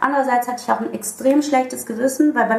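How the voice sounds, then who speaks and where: Music plays in the background as a woman speaks. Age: 30s. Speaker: musician. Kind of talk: casual interview.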